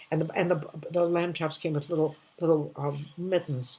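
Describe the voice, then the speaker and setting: A woman's somewhat breathy, dark, mellow voice at a moderate pace in a monotone, flat intonation. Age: 80s+. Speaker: comedian. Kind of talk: storytelling monologue. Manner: warm, nostalgic; halting.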